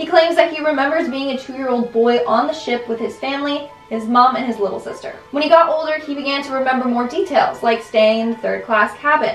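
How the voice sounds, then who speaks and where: Speaking at a fairly quick pace with hardly any pauses, a woman uses a high pitch and ordinary pitch variation. Light background noise and audible room echo sit in the recording. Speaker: countdown video host. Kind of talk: commentary. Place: home room.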